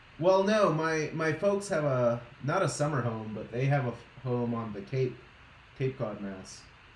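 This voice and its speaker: With a slight Boston accent, a man speaks at a moderate pace and medium pitch with lively intonation, amid noticeable background noise and audible room echo. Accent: weak Boston accent, can only fake it. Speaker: streamer, scale modeler. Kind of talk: casual chat.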